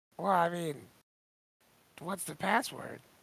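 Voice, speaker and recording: A raspy, put-on character voice at a middle pitch. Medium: actual play. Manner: casual, slightly dim.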